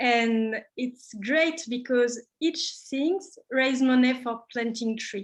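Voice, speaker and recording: Speaking at a very slow pace yet with hardly any pauses, a woman uses a high pitch and ordinary pitch variation. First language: French. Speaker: craft workshop leader. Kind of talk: casual online talk. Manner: halting.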